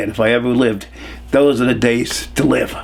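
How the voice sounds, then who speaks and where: Flat, monotone delivery with noticeable background noise behind it. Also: man. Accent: American. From Hudson Valley, New York. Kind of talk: oral history interview answer, casual storytelling. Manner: conversational, reminiscing, humorous.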